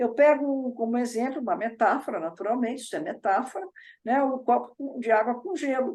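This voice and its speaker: A woman with a high pitch talks at a fairly quick pace, her pitch varying in an ordinary way. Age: 60s. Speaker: psychology teacher and author. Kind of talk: lecture.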